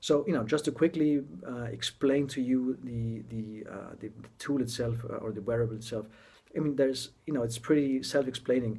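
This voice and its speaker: With a non-native accent and a dark, mellow tone, a man speaks at a moderate pace and medium pitch, his intonation fairly even but his loudness swinging widely. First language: not English. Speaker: tech blogger reviewing a gadget. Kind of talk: casual product introduction video. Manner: halting, many fillers and restarts.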